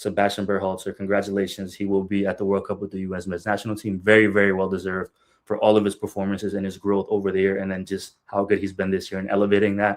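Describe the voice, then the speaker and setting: A man speaks at a very fast pace in a fairly low pitch, with hardly any pauses. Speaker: soccer podcast host. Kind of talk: solo podcast commentary. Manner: animated.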